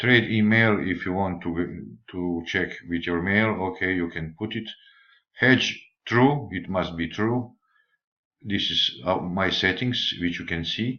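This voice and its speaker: At a very slow pace, a man with a non-native accent talks in a very deep, low pitch with ordinary pitch variation. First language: not English. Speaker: forex trader. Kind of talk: tutorial. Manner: halting.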